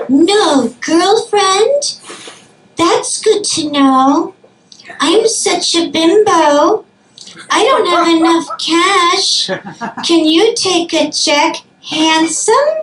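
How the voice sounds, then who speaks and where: Using a put-on character voice, a woman speaks very slowly at an extremely high pitch. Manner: flirtatious, playful.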